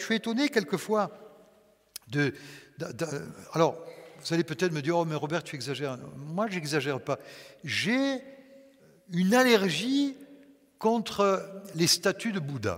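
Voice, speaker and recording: Lively intonation broken by long, frequent pauses. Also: man. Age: 60s. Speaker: pastor. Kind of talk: sermon.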